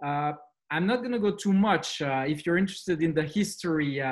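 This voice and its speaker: A man with a French accent speaks with ordinary pitch variation. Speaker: school managing director. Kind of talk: presentation. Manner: hesitant with fillers.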